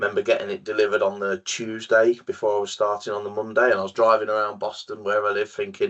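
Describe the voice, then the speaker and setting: A man is speaking. He has an English accent. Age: 40s. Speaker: sales manager in EV charging industry. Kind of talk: podcast interview. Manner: halting, many fillers and repetitions.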